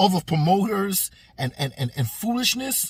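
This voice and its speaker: A man's high, animated voice with very wide pitch swings. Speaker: boxing commentator vlogger. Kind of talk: casual rant. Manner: animated, repetitive; stuttering.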